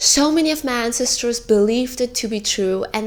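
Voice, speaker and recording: A woman speaks in an Indian accent with a fairly high pitch. Her tone is animated. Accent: has an accent, Indian English. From India, smaller city. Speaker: video essayist. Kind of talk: video essay.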